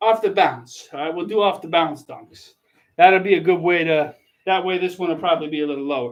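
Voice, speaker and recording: Speaking at a fairly quick pace in a high voice, the man swings widely in loudness. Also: ordinary pitch variation. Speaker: teacher doing basketball dunks. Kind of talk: casual video commentary while dunking.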